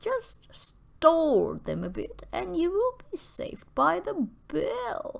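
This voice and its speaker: A woman performs a put-on character voice. She speaks very slowly with hardly any pauses. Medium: read story.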